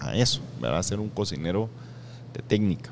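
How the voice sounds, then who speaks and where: A man with a Guatemalan accent talks at a fairly low pitch. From Guatemala, Escuintla. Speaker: chef, restaurant owner. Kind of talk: interview. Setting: restaurant.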